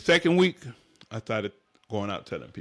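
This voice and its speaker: A man at a fairly quick pace. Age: 60s. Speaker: tile contractor. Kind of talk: casual interview.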